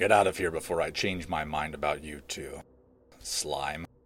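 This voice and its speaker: Using a put-on character voice, a man growls in a raspy, very deep, low pitch at a moderate pace with fairly even intonation. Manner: growling.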